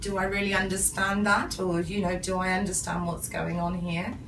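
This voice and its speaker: With an English accent, a woman speaks at a moderate pace against noticeable background noise. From England, UK. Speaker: English lecturer. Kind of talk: interview answer. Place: office. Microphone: camera far.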